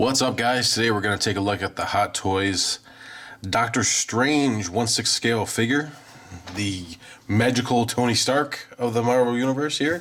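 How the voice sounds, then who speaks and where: Noticeable noise runs behind a man speaking at a moderate pace. His medium pitch shows ordinary variation. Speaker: toy collectible reviewer. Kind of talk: product review. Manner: casual, filler-heavy.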